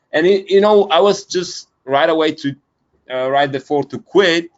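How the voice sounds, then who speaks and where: A man speaks with a Bulgarian accent. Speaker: media buyer, business founder. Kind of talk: interview. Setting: video call. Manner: halting, many fillers.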